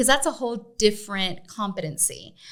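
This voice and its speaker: Vocal fry runs through this woman's voice. Her pitch sits in the middle range. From US West, East Los Angeles. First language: Spanish. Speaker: business association executive. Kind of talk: podcast interview.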